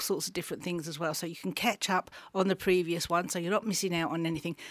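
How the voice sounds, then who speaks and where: The speaker talks with an English accent. The sound is dry and close, with no echo. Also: woman. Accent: non-Yorkshire English. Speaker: radio and podcast interviewer. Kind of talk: interview conversation. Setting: studio.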